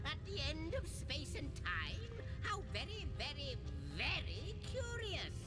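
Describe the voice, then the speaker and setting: A put-on character voice moves at a fairly slow pace. Loud music plays in the background. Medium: game stream. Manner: fussy, repetitive, theatrical.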